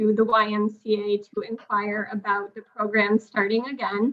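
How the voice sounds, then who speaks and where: A woman speaks with a New England accent. Her pitch is fairly high and her pace fairly slow. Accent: New England American. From Connecticut, US. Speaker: parent. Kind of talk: public comment at a town meeting. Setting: town commission meeting.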